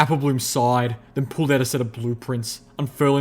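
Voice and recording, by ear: Intonation remains fairly even. The speaker is reading aloud in a natural voice.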